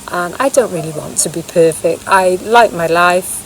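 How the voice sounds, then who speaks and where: A woman with a British accent at a fairly slow pace, with noticeable background noise. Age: 60s. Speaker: vlogger. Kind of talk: casual vlog monologue. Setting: outdoors in woods.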